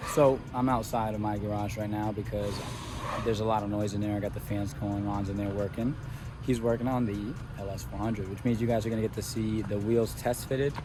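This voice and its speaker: A quiet voice talks at a very fast pace with fairly even intonation. Audible room echo and noticeable background noise fill the recording. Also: man. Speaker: car enthusiast vlogger. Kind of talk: casual vlog narration. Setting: garage workshop. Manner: low energy, quiet.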